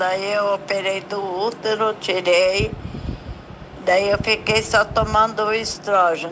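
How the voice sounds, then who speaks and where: Noticeable background noise sits under a woman's voice. She speaks at a medium pitch for a woman with fairly even intonation. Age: 70s. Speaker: patient sharing her story. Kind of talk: testimony.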